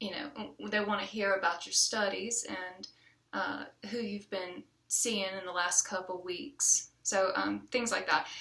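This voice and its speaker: A woman with an American accent speaks fairly slowly at a medium pitch, with ordinary pitch variation. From US South, rural small town (near Charleston, South Carolina area). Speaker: community college student, former chef. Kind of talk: self-introduction video. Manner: halting, many fillers.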